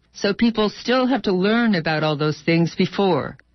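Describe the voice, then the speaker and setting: A woman talks at a medium pitch with an unremarkable speaking voice. Her pace is moderate, and her intonation is lively. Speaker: radio journalist. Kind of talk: radio report, repeating interviewee's statements.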